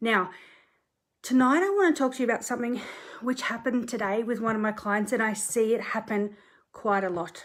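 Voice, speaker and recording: Speaking at a fairly quick pace with long, frequent pauses, a woman with an Australian accent talks at a fairly high pitch. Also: ordinary pitch variation. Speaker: property conveyancer. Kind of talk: social media live talk. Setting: bedroom at home, filmed on tripod. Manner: casual, chatty.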